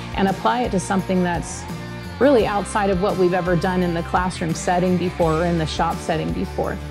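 A woman talks at a fairly quick pace. Clear music plays behind her. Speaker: agriculture mechanics teacher. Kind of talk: interview answer. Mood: warm, enthusiastic. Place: workshop.

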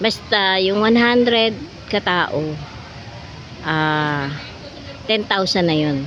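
A woman's medium-pitched voice with lively intonation, very slow and broken by long, frequent pauses, amid audible room echo and noticeable background noise. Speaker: vlogger. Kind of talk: casual vlog narration. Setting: outdoors at water park. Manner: halting.

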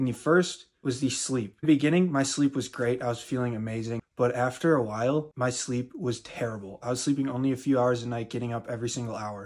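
The background is quiet as a man talks at a fairly quick pace. His intonation is fairly even, with hardly any pauses. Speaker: fitness content creator. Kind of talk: casual vlog chat. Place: home room. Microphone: phone near.

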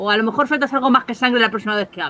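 A woman talks at a very fast pace in a fairly high voice. Her intonation is lively and her tone bright and sharp.

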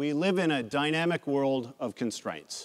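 A man at a fairly slow pace. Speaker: keynote speaker. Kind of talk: speech. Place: hall. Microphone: lapel.

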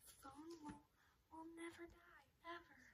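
Over noticeable background noise, a woman speaks at a moderate pace in an extremely high pitch. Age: 20s. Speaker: ASMR creator. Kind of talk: ASMR birthday haul talk to camera. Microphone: phone near.

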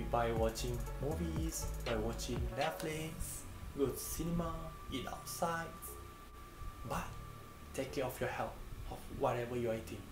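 A man at a moderate pace with long, frequent pauses, clear music in the background. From Malaysia. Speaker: student sharing study tips. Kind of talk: casual talk to camera. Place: home room. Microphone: phone near.

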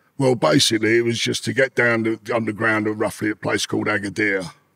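A man talks at a moderate pace with a bright, sharp tone. The background is quiet. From East London, England; London. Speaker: former smuggler and ex-convict; podcast guest. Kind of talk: interview storytelling. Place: studio. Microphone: studio mic.

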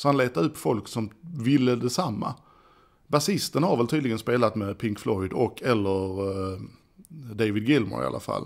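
Against a quiet background, a man speaks at a moderate pace. His intonation is lively. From Sweden. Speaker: podcast host; home vlogger. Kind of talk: casual monologue. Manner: halting. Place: home room. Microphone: studio mic.

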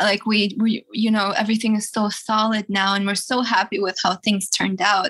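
A woman speaks at a moderate pace with medium pitch, monotone, flat intonation, and hardly any pauses. Her loudness stays very even over noticeable background noise. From Russia. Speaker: rock singer. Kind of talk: casual interview.

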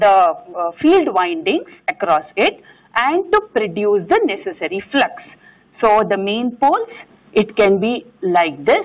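A woman speaks at a very slow pace against a quiet background. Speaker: engineering lecturer. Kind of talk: lecture. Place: classroom.

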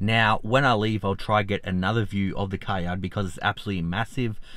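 An Australian-accented man at a moderate pace, dry sound with no echo and light background noise. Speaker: finance YouTuber. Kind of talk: vlog commentary. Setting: outdoors. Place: car. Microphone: phone near.

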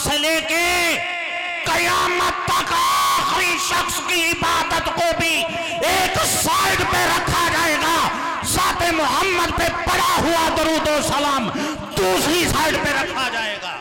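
A man speaking at a very slow pace over crowd noise in the background. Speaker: preacher. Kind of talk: sermon. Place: stage. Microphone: handheld.

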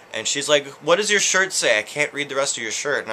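The voice belongs to a man. Behind it there is light background noise. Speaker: vlogger. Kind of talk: casual vlog chat. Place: home room.

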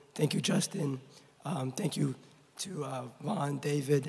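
Over noticeable background noise, a man speaks at a fairly slow pace in a fairly high pitch with fairly even intonation. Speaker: award recipient. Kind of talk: acceptance speech. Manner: hesitant, many fillers.

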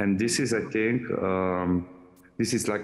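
This man has a plain, everyday voice, pitched fairly low for a man. He speaks at a fairly slow pace with fairly even intonation. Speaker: audience participant; remote panel participant. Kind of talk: audience comment. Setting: video call. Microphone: video call.

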